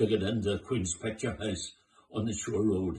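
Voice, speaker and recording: A man with a fairly low pitch speaks in a somewhat breathy voice. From Northern Ireland, Belfast. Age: 90s. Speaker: war-time eyewitness. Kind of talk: oral history testimony. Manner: halting, with repetitions.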